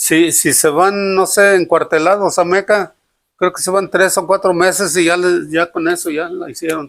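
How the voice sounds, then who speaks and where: A man's high voice in a western Mexican accent, monotone and flat, at a moderate pace. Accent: western Mexican Spanish (Jalisco). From Jalisco, Mexico (Acatlán de Juárez). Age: 70s. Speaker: retired telegraph line worker. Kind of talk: interview. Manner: halting.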